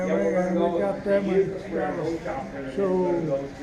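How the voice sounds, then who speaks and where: A man with a high-pitched voice talks over noticeable background noise. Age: 80s+. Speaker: war veteran. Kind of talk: interview answer.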